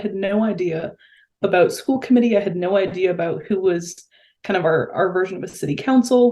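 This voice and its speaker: The voice is an unremarkable speaking voice with an American accent. It moves at a fairly quick pace with ordinary pitch variation. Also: woman. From Massachusetts, near Boston. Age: 20s. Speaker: public health researcher and local school committee member. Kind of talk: podcast interview.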